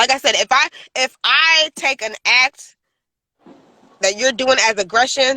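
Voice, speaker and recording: A woman with a high pitch speaks in a raised, projected voice with an animated, bright, sharp tone. Her pace is fairly slow with long, frequent pauses, and the sound is dry and close with no echo. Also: ordinary pitch variation. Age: 40s. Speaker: podcast host. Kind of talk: casual chat. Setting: in a car.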